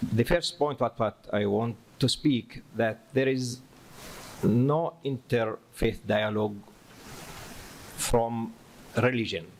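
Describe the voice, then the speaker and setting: With an Arabic accent, a man speaks at a very slow pace with long, frequent pauses, medium pitch, ordinary pitch variation and very even loudness. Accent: Arabic-accented non-native English. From Palestine. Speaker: imam. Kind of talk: lecture.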